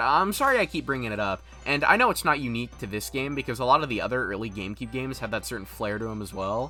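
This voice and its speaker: Music plays in the background as the speech moves at a very fast pace. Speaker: gaming video essayist. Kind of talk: video essay narration. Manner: casual, conversational.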